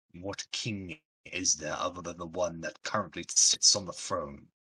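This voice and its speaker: A man puts on a character voice. It sits very deep and low in pitch. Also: moderate pace. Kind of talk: fantasy villain roleplay. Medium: actual play. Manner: haughty, blunt, dismissive.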